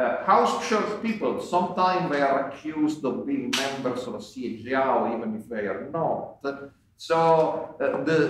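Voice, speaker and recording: A man with an Italian accent speaks at a fairly slow pace with very wide pitch swings, amid light background noise and audible room echo. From Italy. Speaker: scholar and online magazine founder, panel moderator. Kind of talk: conference talk. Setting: conference panel with microphones. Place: hall. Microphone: podium.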